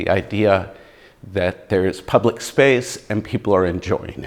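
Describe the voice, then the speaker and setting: A man with an American accent has a normal speaking voice. He talks at a moderate pace with ordinary pitch variation. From US East Coast, near Washington DC. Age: 60s. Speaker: muralist and poet. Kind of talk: oral history interview.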